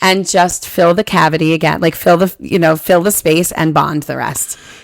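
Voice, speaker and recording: Speaking in a New Jersey accent, a woman keeps a moderate pace and an animated tone. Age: 50s. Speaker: podcast co-host. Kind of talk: casual chat. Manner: loud.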